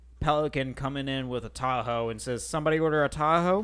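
With a plain, everyday voice, a man talks at a fairly quick pace and fairly high pitch, his intonation fairly even, over a quiet background. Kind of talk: casual chat.

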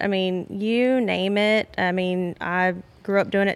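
With a Texan accent, a woman speaks in a flat, monotone way. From Southeast Texas, Beaumont. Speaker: hunter and angler, outdoors advocate. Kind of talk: casual chat. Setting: lodge.

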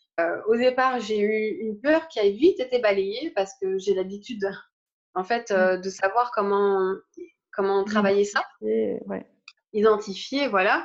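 Her pitch at a medium level and varying in an ordinary way, a woman speaks fairly slowly in an ordinary speaking voice. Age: 30s. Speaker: spiritual teacher. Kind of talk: interview.

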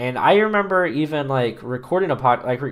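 A man with a normal speaking voice talks at a fairly quick pace with ordinary pitch variation, on a very clean recording with a silent background. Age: 20s. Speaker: fill-in podcast host, gamer. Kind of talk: solo casual monologue. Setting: home, working at computer while recording.

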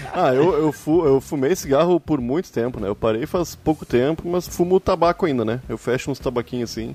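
A man's fairly high voice with a dark, mellow tone, ordinary pitch variation and a moderate pace, in a dry, close sound with no echo. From Porto Alegre, Brazil. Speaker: cannabis podcast host. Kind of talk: casual chat.

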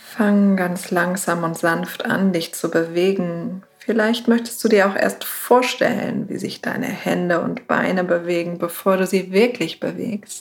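Over noticeable background noise, a woman speaks at a very slow pace and medium pitch in a calm, soothing tone, with ordinary pitch variation and hardly any pauses. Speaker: meditation guide. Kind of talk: guided meditation. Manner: slow, soft, calm and soothing with long pauses; gentle, warm, unhurried.

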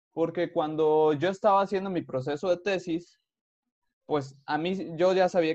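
A man with a normal speaking voice and a fairly high pitch talks at a fairly slow pace with ordinary pitch variation against a quiet background. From Veracruz, Mexico. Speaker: podcast host, engineer. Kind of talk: casual interview.

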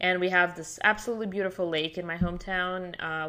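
On a very clean recording with a silent background, a woman speaks with a Russian accent at a medium pitch and a fairly quick pace. Her tone is bright and sharp, her intonation fairly even. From Siberia, Russia. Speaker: immigration and passport consultant, former sailor. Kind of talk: interview.

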